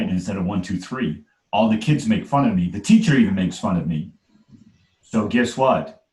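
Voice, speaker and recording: A man talks at a moderate pace, his voice somewhat breathy and his pitch varying in an ordinary way. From Trinidad, raised in New York City. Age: 40s. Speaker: life coach and speaker. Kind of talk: casual chat. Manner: animated.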